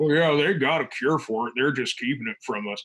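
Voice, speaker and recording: A man puts on a character voice at a medium pitch. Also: fairly quick pace. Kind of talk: casual conversational chat. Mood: joking, sarcastic.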